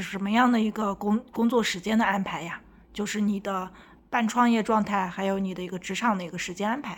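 The recording is very clean, with a silent background. A woman of medium pitch talks at a moderate pace with fairly even intonation in an unremarkable speaking voice. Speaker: podcast host and entrepreneur. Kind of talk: interview.

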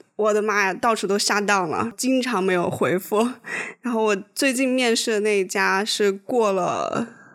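The woman has a normal speaking voice, medium in pitch with ordinary variation. She talks at a moderate pace. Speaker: podcast co-host. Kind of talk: casual chat.

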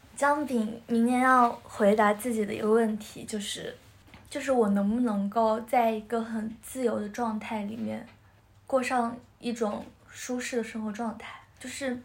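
On a recording with audible room echo, a woman speaks fairly slowly in a somewhat breathy, fairly high voice, monotone and flat in intonation, with big swings in loudness. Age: 20s. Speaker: episode host on a friends' podcast. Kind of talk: casual chat. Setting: in-person recording, three people face to face.

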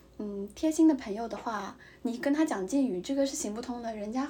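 Through noticeable background noise, a woman with a high pitch talks at a fairly quick pace with lively intonation. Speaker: podcast co-host, graduate student in Japan. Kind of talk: casual chat. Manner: halting with many fillers.

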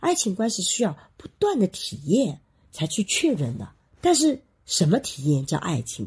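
Recorded very cleanly against a silent background, a woman speaks at a fairly slow pace and medium pitch, with vocal fry, very wide pitch swings and big swings in loudness. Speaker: sociology professor and podcast co-host. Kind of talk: casual chat. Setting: studio with microphones. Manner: varying loudness, moves around the mic.

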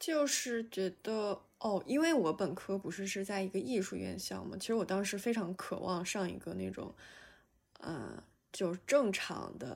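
A woman talks at a medium pitch and a fairly slow pace with lively intonation. It is a plain, everyday voice. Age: 20s. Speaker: graduate student. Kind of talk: casual chat. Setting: video call.

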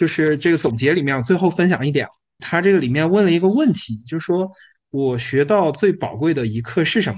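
Against a quiet background, a man talks at a fairly quick pace with lively intonation. He has a plain, everyday voice with a fairly high pitch. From Yunnan, China (Kunming). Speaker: entrepreneur. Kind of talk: casual chat.

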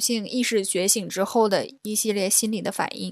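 A woman's plain, everyday voice, fairly high in pitch, with fairly even intonation and a fairly slow pace. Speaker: podcast co-host. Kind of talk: casual chat.

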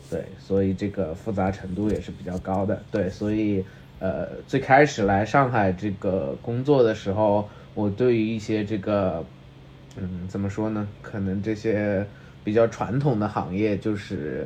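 At a fairly slow pace, a man with a slight Changsha accent speaks in a fairly low pitch with ordinary pitch variation. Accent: Mandarin with slight Changsha tinge. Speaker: podcast co-host. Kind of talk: casual chat.

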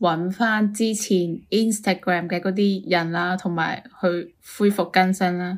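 A woman's voice at medium pitch with fairly even intonation, in a very clean recording with a silent background. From Guangdong, China. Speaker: podcast co-host. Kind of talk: casual chat.

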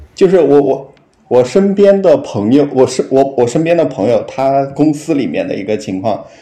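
Noticeable background noise sits behind this recording. A man with a fairly high pitch speaks at a fairly slow pace. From Henan, China. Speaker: podcast guest sharing a story. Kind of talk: casual storytelling chat. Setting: remote call. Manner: halting, many fillers.

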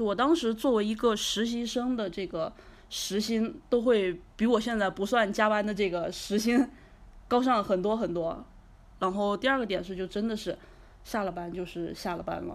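An unremarkable speaking voice, moderate in pace, its pitch varying in an ordinary way. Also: woman, fairly high pitch for a woman. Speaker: entrepreneur. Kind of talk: casual interview.

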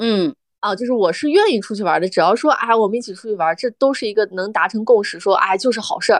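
A woman's fairly high voice at a very fast pace with hardly any pauses and ordinary pitch variation, in a dry, close sound with no echo against a quiet background. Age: 30s. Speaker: podcast co-host. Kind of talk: casual chat.

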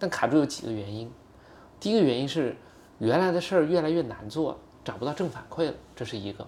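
Speaking at a very fast pace but with long, frequent pauses, a man uses a fairly high pitch, lively intonation, and big swings in loudness. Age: 30s. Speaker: startup founder. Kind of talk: casual interview conversation.

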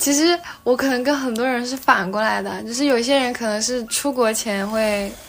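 Noticeable background noise accompanies a woman speaking in a high voice. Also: ordinary pitch variation, moderate pace. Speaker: doctor turned working holiday backpacker. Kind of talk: casual interview chat.

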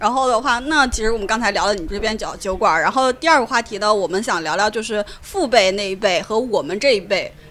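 Talking at a very fast pace with hardly any pauses, a woman keeps a fairly high pitch. Her pitch variation is ordinary. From Shanxi, China. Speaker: podcast host. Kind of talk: casual chat. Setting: in a bar.

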